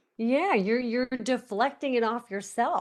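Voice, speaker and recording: Over a quiet background, a woman with an American accent talks at a fairly slow pace with lively intonation, an unremarkable speaking voice. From Long Island, New York. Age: 60s. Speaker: author and motivational speaker. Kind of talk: podcast interview.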